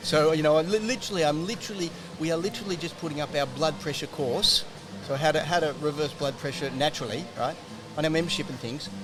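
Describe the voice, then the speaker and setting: A man talks very fast with an Australian accent at a fairly high pitch. Noticeable background noise sits behind him. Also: ordinary pitch variation. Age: 60s. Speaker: health researcher and author. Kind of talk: podcast interview.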